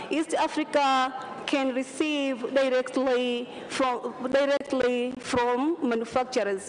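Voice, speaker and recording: At a very slow pace, a woman speaks in a high pitch with fairly even intonation against noticeable background noise. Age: 30s. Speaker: parliamentary candidate. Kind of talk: campaign speech. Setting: parliament chamber.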